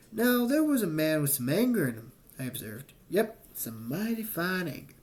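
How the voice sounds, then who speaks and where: A man puts on a character voice, drawling in a high pitch at a moderate pace. His pitch swings very widely as part of the act. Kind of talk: first-person audiobook narration. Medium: read story. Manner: folksy, drawling, plainspoken.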